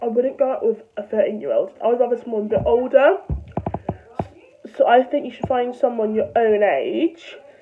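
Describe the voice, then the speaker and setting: A woman talks at a moderate pace with long, frequent pauses, over noticeable background noise. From London. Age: young. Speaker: vlogger. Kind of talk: casual talk to camera.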